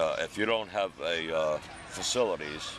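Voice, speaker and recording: Noticeable background noise sits behind the speaker. A man talks with fairly even intonation. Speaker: homeless man. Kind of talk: interview answer. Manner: gruff, blunt.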